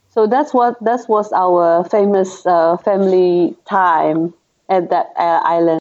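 A woman's medium-pitched voice at a very slow pace, with ordinary pitch variation and very even loudness. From Sabah, Malaysia. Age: 30s. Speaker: marine conservationist. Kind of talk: interview.

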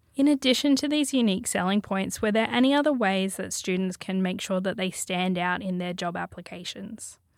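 Someone with an Australian accent talks at a fairly quick pace with lively intonation and hardly any pauses, in a very clean recording with a silent background. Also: woman, medium pitch for a woman. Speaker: podcast host and careers advisor. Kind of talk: scripted intro and interview. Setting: studio. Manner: formal.

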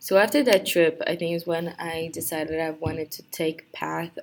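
A woman with a Brazilian accent speaks at a fairly low pitch and moderate pace. Noticeable background noise can be heard. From Brazil, Rio de Janeiro. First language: Portuguese. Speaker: university student. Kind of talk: personal introduction monologue. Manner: halting, many fillers.

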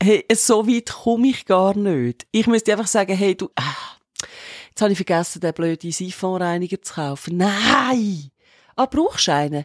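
A woman's medium-pitched voice with very wide pitch swings, dry and close with no echo, on a very clean recording over a silent background. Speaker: podcast co-host. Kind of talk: casual chat.

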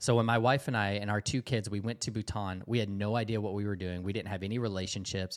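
Speaking with a Southern US accent, a man with a fairly low pitch talks at a very fast pace with hardly any pauses and fairly even intonation, in a very clean recording with a silent background. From US South, Georgia. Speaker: missionary. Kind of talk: interview testimony.

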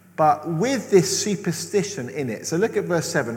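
Here a man talks at a moderate pace, fairly high in pitch, with lively intonation. Audible room echo surrounds the voice. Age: 40s. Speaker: preacher. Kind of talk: sermon.

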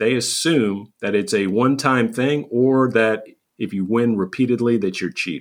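A man speaks in a plain, everyday voice at a fairly slow pace and medium pitch. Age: 50s. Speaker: recovery coach podcast host. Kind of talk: solo podcast monologue.

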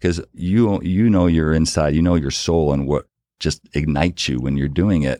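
This man has a very deep, low voice with a dark, mellow tone and ordinary pitch variation. He talks at a moderate pace in a dry, close recording with no echo and a quiet background. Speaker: business executive and author. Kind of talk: interview conversation.

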